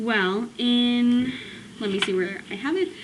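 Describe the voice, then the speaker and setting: Her pace is very slow. The woman speaks at a high pitch. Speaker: student. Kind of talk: casual talk to camera. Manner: hesitant, stuttering.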